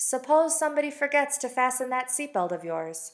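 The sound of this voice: A woman's put-on character voice, gravelly and high-pitched, with very wide pitch swings at a fairly quick pace.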